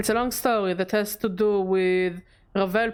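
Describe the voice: The passage is plainly read aloud, its intonation fairly even.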